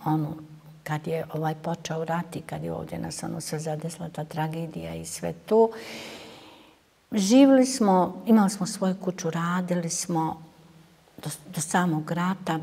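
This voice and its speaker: This woman's voice is fairly low and somewhat breathy, with a dark, mellow tone and ordinary pitch variation. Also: moderate pace. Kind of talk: interview answer. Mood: somber, reflective. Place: hall. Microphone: lapel.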